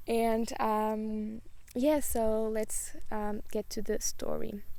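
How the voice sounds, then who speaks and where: A woman speaks very slowly in a Portuguese accent, her pitch fairly high and her tone dark and mellow. Her intonation stays fairly even, and her loudness holds very even throughout. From Portugal. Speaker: spiritual YouTuber. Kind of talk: casual vlog monologue. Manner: hesitant, many fillers.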